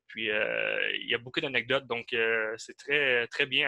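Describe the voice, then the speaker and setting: A man's bright, sharp tone with an Abitibi Quebec accent, fairly even intonation, and a dry, close sound with no echo. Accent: regional Abitibi Quebec. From Quebec, Val-d'Or (Abitibi). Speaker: podcast co-host. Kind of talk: casual interview.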